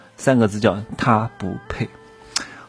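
Noticeable background noise sits under the voice. The pace is fairly slow. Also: man. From Anhui, southern (Wannan). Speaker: podcast host, self-improvement coach. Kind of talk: casual monologue with storytelling. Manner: casual, with frequent fillers and laughs.

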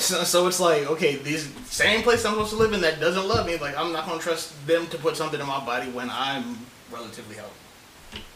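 A man's fairly high-pitched, lively voice with hardly any pauses, set against noticeable background noise. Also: fairly quick pace. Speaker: co-host. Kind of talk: casual chat.

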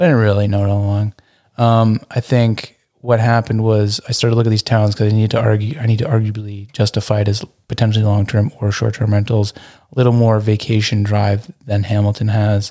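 Mumbling in a dark, mellow tone, a man keeps a monotone, flat intonation and very even loudness. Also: fairly low pitch for a man. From Burlington, Ontario, Canada. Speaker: entrepreneur and designer. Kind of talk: casual interview chat. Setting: speakeasy room attached to an Airbnb.

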